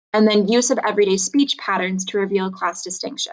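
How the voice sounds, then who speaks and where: A woman at a medium pitch talks with fairly even intonation. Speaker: high school English teacher. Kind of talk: recorded lecture. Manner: fast.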